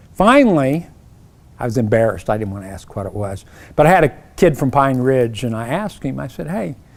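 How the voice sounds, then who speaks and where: With an Oklahoma accent, the speaker goes at a fairly quick pace, with very wide pitch swings and big jumps in loudness, on a very clean recording with a silent background. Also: man, medium pitch for a man. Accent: Oklahoma twang. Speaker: professor. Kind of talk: keynote speech. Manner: conversational, with self-corrections.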